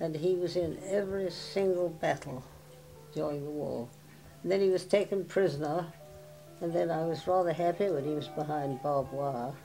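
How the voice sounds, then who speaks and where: Music plays in the background as a woman with a fairly low pitch speaks at a moderate pace with ordinary pitch variation. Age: 80s+. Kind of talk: oral history interview answer.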